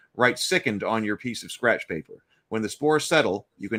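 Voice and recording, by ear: The surroundings are quiet. Reading aloud in a natural voice is heard.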